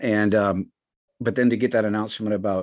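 A man's fairly quick, fairly low-pitched speech against a quiet background. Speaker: podcast co-host. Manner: animated.

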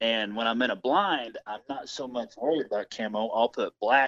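In an American accent, a man with an unremarkable speaking voice talks at a fairly slow pace with ordinary pitch variation, in a dry, close sound with no echo. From US Midwest, Missouri. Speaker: hunter and outdoor YouTuber. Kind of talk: interview.

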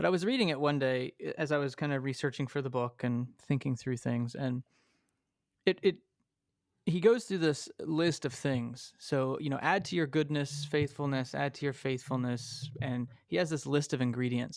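In a plain, everyday voice, a man with an American accent talks at a moderate pace with a fairly high pitch and ordinary pitch variation, on a very clean recording with a silent background. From Texas, small town. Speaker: pastor, professor and author. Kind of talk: interview conversation.

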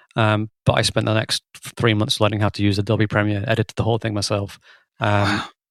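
Speaking at a fairly quick pace, a man with a fairly low pitch holds a flat, monotone intonation, recorded with a dry, close sound and no echo. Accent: Lancashire. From Lancashire, England. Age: 30s. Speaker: drummer and musical director. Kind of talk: casual interview chat. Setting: remote call.

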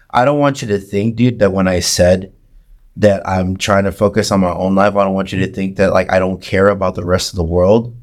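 On a very clean recording with a silent background, a man with an unremarkable speaking voice and fairly low pitch talks at a fairly quick pace with fairly even intonation. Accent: American. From San Antonio, Texas. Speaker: podcaster and musician. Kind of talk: casual chat.

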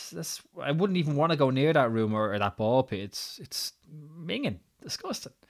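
Very wide pitch swings at a moderate pace, in an Irish accent. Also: man, fairly high pitch for a man. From Ireland. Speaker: podcaster. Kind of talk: solo podcast monologue, personal storytelling. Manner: casual, conversational, some hesitations.

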